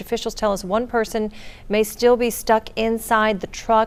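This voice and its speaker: A woman with a fairly high pitch speaks in a plain, everyday voice. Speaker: TV news anchor. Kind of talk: morning TV news anchoring.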